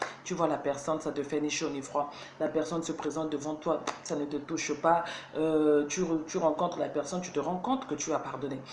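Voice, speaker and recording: A woman talks at a moderate pace with a very deep, low pitch. Noticeable background noise and audible room echo fill the recording. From Burkina Faso, Ouagadougou. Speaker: motivational video host. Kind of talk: motivational talk. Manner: halting, searching for words.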